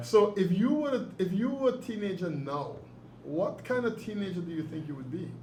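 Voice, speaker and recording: Against noticeable background noise, a man with a high pitch talks at a moderate pace with very wide pitch swings. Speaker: author and interviewer. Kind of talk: interview questions.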